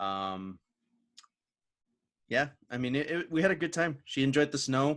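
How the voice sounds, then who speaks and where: Lively intonation marks this voice with an American accent. It keeps a moderate pace with long, frequent pauses. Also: man, fairly high pitch for a man, very clean recording, silent background. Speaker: podcast host. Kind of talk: casual chat. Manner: halting, many fillers.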